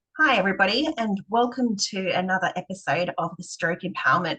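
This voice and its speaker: With a normal speaking voice, a woman at medium pitch talks at a moderate pace with lively intonation and hardly any pauses. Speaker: podcast host, stroke empowerment coach. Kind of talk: podcast interview host.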